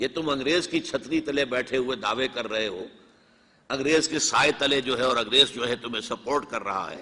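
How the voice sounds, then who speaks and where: A man speaks in a plain, everyday voice. His medium pitch shows ordinary variation. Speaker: Islamic scholar. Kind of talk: religious lecture.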